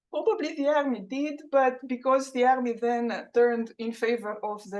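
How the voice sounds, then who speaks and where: A woman's high-pitched voice with ordinary pitch variation and a Romanian accent. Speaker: professor. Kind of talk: lecture.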